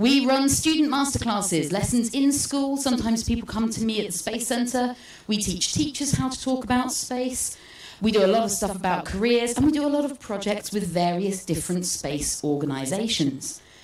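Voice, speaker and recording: With a British accent, a woman talks at a moderate pace in a fairly high pitch, her voice swinging very widely, and audible room echo surrounds her. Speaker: space educator. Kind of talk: public talk. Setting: stage with audience.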